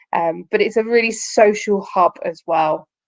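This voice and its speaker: A woman speaks with an English accent in a medium pitch. Her pitch varies in an ordinary way, and the sound is dry and close with no echo. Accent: very English. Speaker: company recruiter presenting to students. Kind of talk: online careers presentation.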